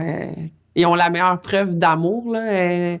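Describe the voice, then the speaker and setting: A woman's fairly low pitch with ordinary pitch variation. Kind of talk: interview answer.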